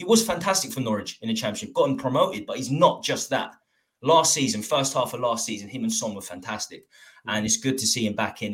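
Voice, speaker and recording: Very fast, somewhat breathy speech from a man at medium pitch with lively intonation. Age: 30s. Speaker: football YouTuber. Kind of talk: casual chat.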